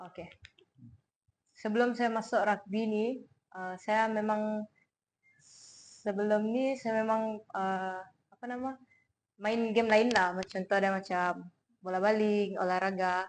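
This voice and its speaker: Long, frequent pauses break up the fairly slow speech, whose intonation stays fairly even. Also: woman, fairly high pitch for a woman. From Sarawak, Malaysia (Miri). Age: 20s. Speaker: rugby athlete and student. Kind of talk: interview. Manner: hesitant, casual.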